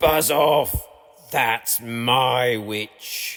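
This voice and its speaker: A man puts on a croaky, shrill, growling character voice at a medium pitch. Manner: aggressive, shouting.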